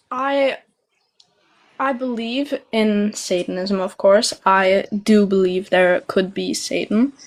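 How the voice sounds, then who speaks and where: Very slow speech from a woman with a medium pitch and a non-native accent. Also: ordinary pitch variation. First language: not English. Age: young (18). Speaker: caller, agnostic Satanist. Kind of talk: casual debate. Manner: halting.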